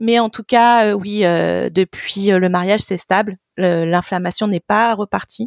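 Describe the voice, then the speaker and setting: The sound is dry and close, with no echo, as a woman speaks at a very slow pace. Her pitch shows ordinary variation. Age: 30s. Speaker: app co-founder. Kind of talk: interview.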